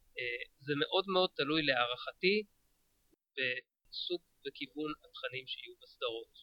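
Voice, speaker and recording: A man speaks fairly slowly. Long pauses come often in his speech. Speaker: podcaster and sci-fi fan. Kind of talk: casual chat. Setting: studio.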